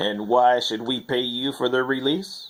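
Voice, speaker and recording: Putting on a character voice, a man speaks at a medium pitch and moderate pace. His pitch varies in an ordinary way. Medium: audio drama.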